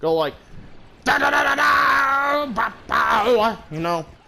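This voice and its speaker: Quiet man's voice amid noticeable background noise. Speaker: gaming YouTuber. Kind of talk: gameplay commentary. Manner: loud and rowdy at times; quieter average tone now.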